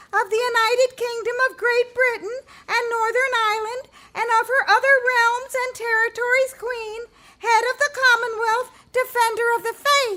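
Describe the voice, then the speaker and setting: A put-on character voice at an extremely high pitch speaks at a moderate pace in a monotone, flat manner. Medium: audio drama. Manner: earnest, patient.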